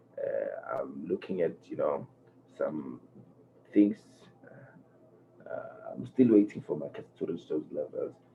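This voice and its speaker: The voice is quiet, with big swings in loudness. It moves at a very slow pace with long, frequent pauses. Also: man. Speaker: forex trading educator. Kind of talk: tutorial. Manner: low-energy, quiet; halting, many fillers.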